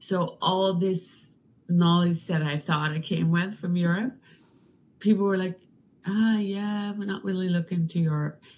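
Somewhat breathy, a woman speaks at a fairly slow pace with fairly even intonation. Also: medium pitch for a woman. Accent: Danish. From Denmark. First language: Danish. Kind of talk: casual interview.

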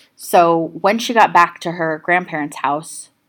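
A woman with an unremarkable speaking voice talks at a fairly low pitch and a moderate pace with fairly even intonation, in a very clean recording with a silent background. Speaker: true crime podcast host. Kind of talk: true-crime narration, telling the case story to a live audience. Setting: live stage with audience at a festival. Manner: steady, serious storytelling; conversational, addressing the audience directly.

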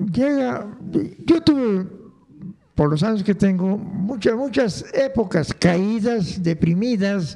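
Lively, high-pitched speech from a man at a very slow pace, with noticeable background noise. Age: old. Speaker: grandfather, former music teacher. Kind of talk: casual interview.

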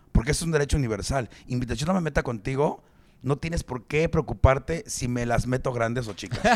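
At a fairly quick pace, the speaker has an animated tone, lively intonation and a Mexican accent. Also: man. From Mexico. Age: 40s. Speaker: stand-up comedian. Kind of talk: casual chat.

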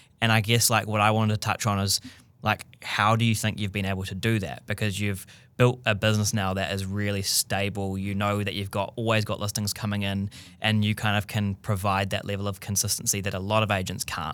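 Speaking fairly quickly in a New Zealand accent, a man keeps a fairly low, monotone, flat delivery on a very clean recording with a silent background. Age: 30s. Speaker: podcast host. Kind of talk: casual chat.

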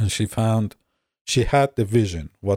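Somewhat breathy, a man talks at a moderate pace in a dry, close sound with no echo. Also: very clean recording, silent background. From Iran. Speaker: massage therapist. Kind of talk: casual interview.

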